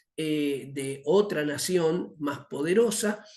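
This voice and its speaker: With audible room echo, a man talks using lively intonation. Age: 60s. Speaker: missions teacher. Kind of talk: lecture. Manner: halting, many fillers.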